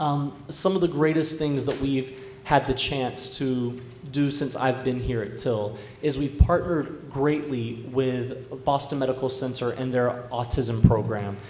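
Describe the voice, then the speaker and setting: Speaking at a fairly slow pace, a man with medium pitch keeps a fairly even intonation. Audible room echo and noticeable background noise are present. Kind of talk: panel discussion. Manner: loud.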